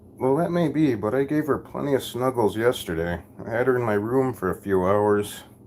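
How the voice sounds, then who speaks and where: An American accent marks this man's speech, which moves at a fairly quick pace with lively intonation. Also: medium pitch for a man. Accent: thick Minnesotan accent (per viewers). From Minnesota. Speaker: live streamer. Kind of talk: casual live stream chat.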